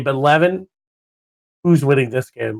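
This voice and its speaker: A man with a plain, everyday voice talks at a fairly quick pace, using ordinary pitch variation. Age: 20s. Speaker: esports caster. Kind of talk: live commentary.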